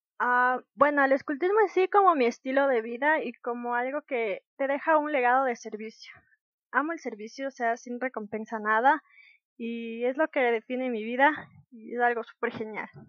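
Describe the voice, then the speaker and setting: This woman has a high-pitched voice and ordinary pitch variation. She keeps a moderate pace. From Ecuador, Ambato (highlands). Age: 18. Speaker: scout rover, volunteer. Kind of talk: casual interview. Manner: animated.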